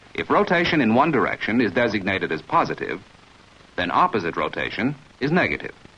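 A man's medium-pitched voice at a very fast pace, very wide pitch swings, noticeable background noise. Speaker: film narrator. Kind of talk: vintage training film narration. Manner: formal, measured, authoritative; even-paced, didactic, instructional.

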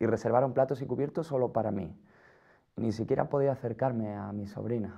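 An unremarkable speaking voice, a man at medium pitch, fairly quick in pace, with ordinary pitch variation. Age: 20s. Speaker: person living with HIV. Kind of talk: scripted testimony.

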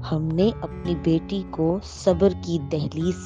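Music plays in the background as a woman speaks in a very deep, low voice. Her pitch swings very widely. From Pakistan. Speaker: voice over artist and story writer. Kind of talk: moral story narration.

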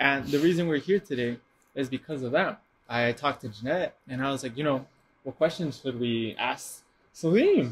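At a moderate pace, the speaker's somewhat breathy voice shows ordinary pitch variation. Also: man. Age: 20s. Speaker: podcast host. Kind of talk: interview. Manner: animated.

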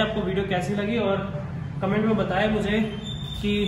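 Speaking at a fairly slow pace in a high, flat monotone, a man is heard with audible room echo and noticeable background noise. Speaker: fitness trainer. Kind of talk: tutorial. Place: gym. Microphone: phone near.

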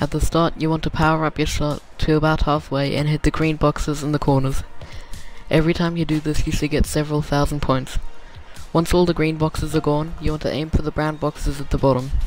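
With music in the background, a man talks fairly quickly at a fairly high pitch in a monotone, flat intonation. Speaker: video game guide maker. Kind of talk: game tutorial narration.

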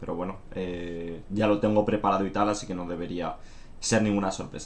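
A man at a fairly quick pace. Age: 20s. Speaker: gaming streamer. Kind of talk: casual stream announcement. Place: home room.

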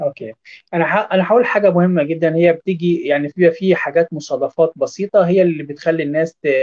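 A high-pitched man talks at a fairly quick pace with hardly any pauses and fairly even intonation over a quiet background. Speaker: nutrition specialist doctor. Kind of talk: expert interview. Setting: video call from Doha.

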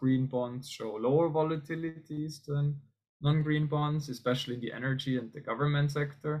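A man with a normal speaking voice talks at a fairly high pitch with fairly even intonation over a quiet background. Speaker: economics researcher presenting; presenter. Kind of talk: academic conference presentation. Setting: video call. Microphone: video call.

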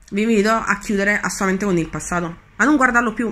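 With a bright, sharp tone, the voice moves through ordinary pitch variation. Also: woman. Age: 30s. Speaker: spiritual coach; law of attraction coach. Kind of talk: video monologue teaching. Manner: hesitant with fillers. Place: home room. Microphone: phone near.

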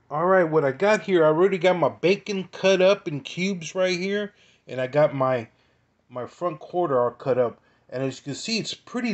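The background stays quiet. A man's speech moves at a moderate pace. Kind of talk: tutorial. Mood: relaxed, informative. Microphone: phone near.

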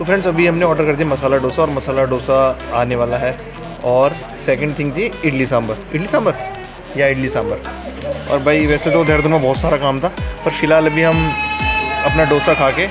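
Clear music plays behind a man who talks at a moderate pace with ordinary pitch variation and long, frequent pauses. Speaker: family vlogger. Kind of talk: casual vlog chat. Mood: cheerful, playful. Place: cafe. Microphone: phone near.

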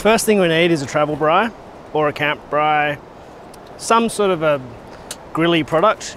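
Against faint background noise, a man speaks at a fairly slow pace with a fairly high pitch, a fairly bright tone and ordinary pitch variation.

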